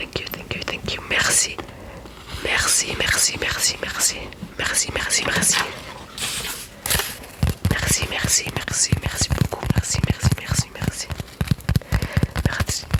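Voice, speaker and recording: Whispering at a moderate pace, with long, frequent pauses and noticeable background noise. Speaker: ASMR creator. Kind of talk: ASMR language lesson. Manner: whispered, soft-spoken.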